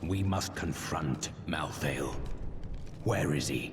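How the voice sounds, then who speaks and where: Loud background noise accompanies a man doing a put-on character voice at a very slow pace. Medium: machinima. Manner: terse, grave.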